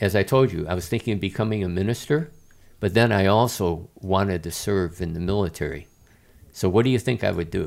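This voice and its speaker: A man with an American accent talks at a fairly quick pace in a fairly low pitch with ordinary pitch variation, an ordinary speaking voice on a very clean recording with a silent background. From Chicago, US Midwest. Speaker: retired army general. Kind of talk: interview conversation.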